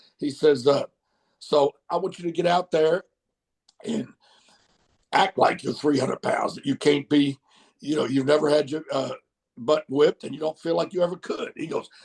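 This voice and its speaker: A man with a Southern accent, fairly high pitch and ordinary pitch variation, long and frequent pauses, and a dry, close sound with no echo. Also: moderate pace. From US South, Mississippi. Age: 60s. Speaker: wrestling manager. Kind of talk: interview storytelling. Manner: halting, many fillers.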